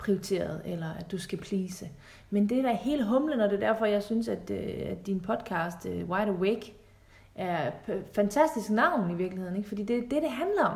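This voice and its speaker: With audible room echo, a woman speaks at medium pitch and a moderate pace. Her intonation is lively, and vocal fry comes through. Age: 30s. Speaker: relationship coach. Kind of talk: podcast interview.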